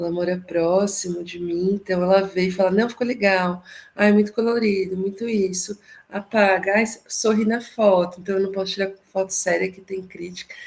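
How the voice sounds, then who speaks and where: A woman at medium pitch speaks at a moderate pace with monotone, flat intonation and big swings in loudness. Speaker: psychologist and therapist, workshop participant. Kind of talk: casual discussion in an online workshop. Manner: soft-spoken.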